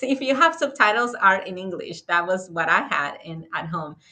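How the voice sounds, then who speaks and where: A woman with a strong Spanish accent speaks in a bright, sharp tone with lively intonation. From Dominican Republic. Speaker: architect and author. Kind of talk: interview conversation. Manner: halting.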